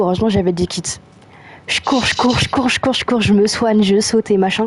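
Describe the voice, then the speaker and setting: A woman at a medium pitch with ordinary pitch variation, over noticeable background noise. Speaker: video game streamer. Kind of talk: casual gaming chat. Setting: live stream. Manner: casual, filler-heavy.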